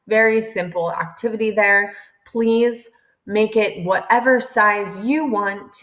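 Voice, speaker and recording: A woman talks at a fairly slow pace. Hers is an ordinary speaking voice. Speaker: teacher. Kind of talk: tutorial.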